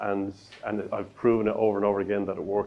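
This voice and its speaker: A man with an Irish accent, fairly low-pitched, at a very fast pace. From Ireland. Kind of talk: professional speaker, explanatory.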